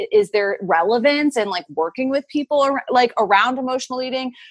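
A woman has an unremarkable speaking voice at a moderate pace. The sound is dry and close, with no echo. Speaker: intuitive eating coach. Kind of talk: casual interview.

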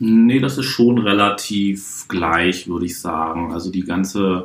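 A man with a fairly low voice and ordinary pitch variation speaks over noticeable background noise. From Hamburg, northern Germany. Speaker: juggler and card-trick performer, show producer. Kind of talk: podcast interview. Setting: hotel room.

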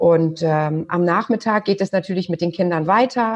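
A woman talks at a fairly slow pace. She has a normal speaking voice with ordinary pitch variation. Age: 40s. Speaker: butcher shop co-owner. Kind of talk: interview.

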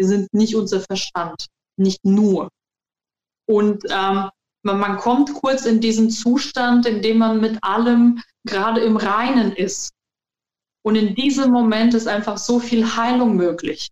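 Very slowly and with long, frequent pauses, a woman speaks in a somewhat breathy voice with a fairly high pitch and fairly even intonation, the sound dry and close with no echo. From Germany. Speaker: qigong trainer and alternative practitioner. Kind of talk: interview.

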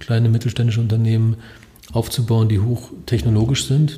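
A man's voice over noticeable background noise. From Germany, Lower Saxony (partly Upper Franconia). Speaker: robotics professor. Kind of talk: interview. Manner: hesitant, many filler sounds.

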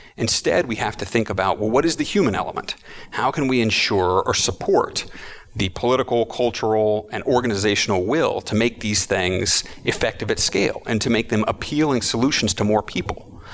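A man speaks with an American accent at medium pitch with ordinary pitch variation. Noticeable background noise is present. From Texas, Austin. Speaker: futures educator and facilitator. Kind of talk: interview. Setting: conference event.

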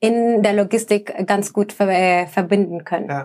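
Speaking at a medium pitch with fairly even intonation, a woman has a Spanish accent. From El Salvador. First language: Spanish (speaking German). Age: 20s. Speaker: sustainability manager. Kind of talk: podcast interview.

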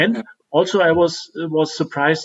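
A man with a German accent, fairly high in pitch, at a moderate pace. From Germany. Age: 30s. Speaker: podcast co-host. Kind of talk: casual chat. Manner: halting.

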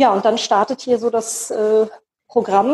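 An unremarkable speaking voice from a woman, fairly high in pitch, at a moderate pace, with a dry, close sound and no echo. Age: 40s. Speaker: job coach and lecturer, single mother of four. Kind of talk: interview.

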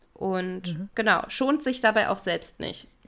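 Over a silent background in a very clean recording, a woman with a plain, everyday voice speaks at medium pitch and a fairly slow pace. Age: 20s. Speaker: podcast co-host, criminology. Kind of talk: casual chat.

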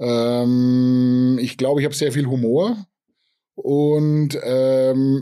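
A man's dark, mellow tone at a very slow pace, with fairly even intonation. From Upper Franconia, Germany. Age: 40s. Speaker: craft brewery owner and software developer. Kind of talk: interview. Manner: halting, many fillers.

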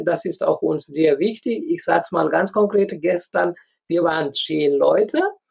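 The speaker is a man. He talks with a Nepali accent. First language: Nepali (speaking German). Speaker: community association leader. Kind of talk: interview. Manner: halting.

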